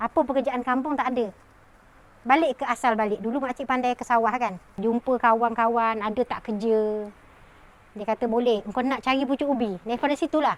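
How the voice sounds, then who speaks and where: A woman speaks high-pitched with fairly even intonation. The sound is dry and close, with no echo. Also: moderate pace. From Malaysia, Selangor (Tanjung Karang). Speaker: pandan farmer. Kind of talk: personal testimony interview.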